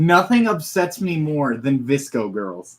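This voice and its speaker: This speaker takes a fairly slow pace. Their pitch rises and falls very widely. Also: man. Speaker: livestreamer. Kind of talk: casual livestream chat. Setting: livestream with webcam. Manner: animated.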